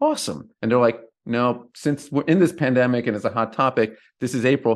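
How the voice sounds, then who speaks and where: A man with a medium pitch talks against a quiet background. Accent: American. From New Jersey. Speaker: entrepreneur and author. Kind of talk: interview conversation.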